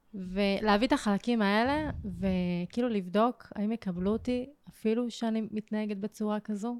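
A woman's unremarkable speaking voice, fairly high and fairly slow, with fairly even intonation and a dry, close sound with no echo. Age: 20s. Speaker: emotional therapist. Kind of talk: personal testimony.

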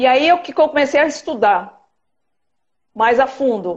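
A woman speaks at a very slow pace with a high pitch. Her intonation is lively. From Brazil, São Paulo. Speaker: dermatologist. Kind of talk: interview. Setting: video livestream.

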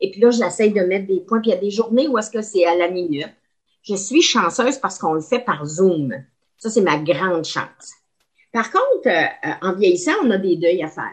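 With lively intonation, a woman uses an ordinary speaking voice at a medium pitch and moderate pace. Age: 60s. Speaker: retired teacher. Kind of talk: casual chat.

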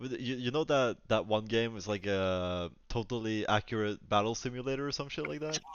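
An American accent marks a man's medium-pitched voice, delivered with hardly any pauses. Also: ordinary pitch variation, moderate pace. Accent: sounds kind of American. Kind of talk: casual chat.

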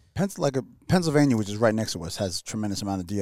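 Very clean recording with a silent background of a man in a New York accent, at a medium pitch with ordinary pitch variation. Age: 40s. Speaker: hunter. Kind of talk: casual chat. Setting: studio.

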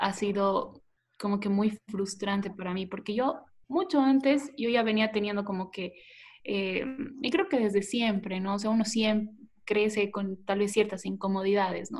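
A somewhat breathy woman's voice with fairly even intonation. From Bolivia, Tarija. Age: 20s. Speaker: former beauty pageant contestant. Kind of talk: interview.

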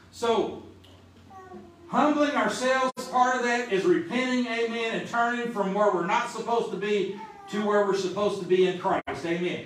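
Against noticeable background noise, a high-pitched man talks with a Southern US accent. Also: ordinary pitch variation, moderate pace. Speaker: preacher. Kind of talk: sermon. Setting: church. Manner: fervent, call-and-response style.

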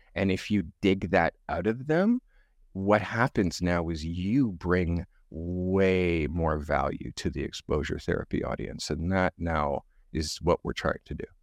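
In a Canadian accent, a man talks with a very deep, low pitch. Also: ordinary pitch variation, quiet background. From Canada. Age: 50s. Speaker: photographer. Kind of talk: casual interview chat. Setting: video call.

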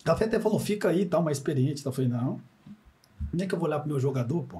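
Somewhat breathy and dark, mellow in tone, a man's fairly high voice moves with lively intonation. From Minas Gerais, Triângulo Mineiro. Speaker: former footballer and coach. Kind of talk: casual chat.

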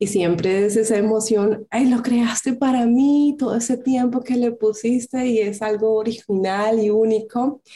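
With a dark, mellow tone, a woman speaks somewhat breathily at a fairly slow pace, with hardly any pauses and very even loudness. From Colombia. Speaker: craft entrepreneur. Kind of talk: interview.

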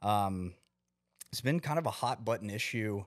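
A man with an American accent speaks at a fairly slow pace and fairly low pitch, with ordinary pitch variation, on a very clean recording with a silent background. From Texas. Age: 30s. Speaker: podcast host. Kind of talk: solo podcast monologue. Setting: home garage. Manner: halting, many fillers.

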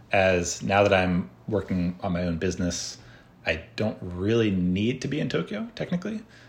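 In an American accent, a man speaks at a moderate pace with a very deep, low pitch, a somewhat breathy quality and ordinary pitch variation. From United States. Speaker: tech entrepreneur and software developer. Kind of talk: interview conversation.

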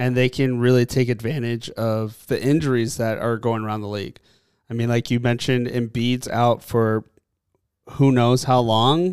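A man's medium-pitched, unremarkable speaking voice with fairly even intonation at a moderate pace, in a very clean recording with a silent background. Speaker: podcast co-host. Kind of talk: casual banter podcast.

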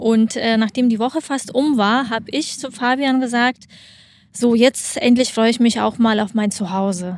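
Her pitch is fairly high for a woman. She talks at a fairly slow pace with fairly even intonation. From Lithuania. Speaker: athlete and sports camp operator. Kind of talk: casual interview. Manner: hesitant with fillers.

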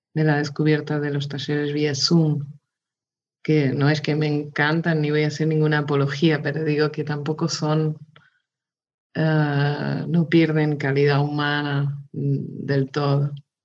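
A woman's very deep, low voice, very slow pace and monotone, flat intonation. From Portugal, raised in Mozambique. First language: Portuguese (speaking Spanish). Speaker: illustrator. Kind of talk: casual interview. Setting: video call.

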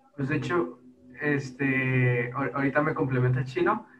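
A man at medium pitch, an ordinary speaking voice, fairly even intonation and a moderate pace. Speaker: podcaster. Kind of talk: casual chat.

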